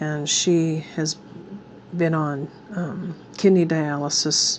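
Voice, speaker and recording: A woman speaks with a very deep, low pitch and monotone, flat intonation. Noticeable background noise runs underneath. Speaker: crafting YouTuber. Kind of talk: casual craft tutorial chat. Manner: casual, meandering.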